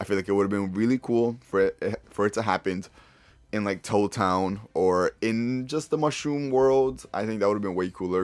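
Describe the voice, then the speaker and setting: An ordinary speaking voice comes through at a moderate pace with ordinary pitch variation, on a very clean recording with a silent background. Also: man. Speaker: YouTuber, movie reviewer. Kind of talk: casual video review. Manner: casual, profane.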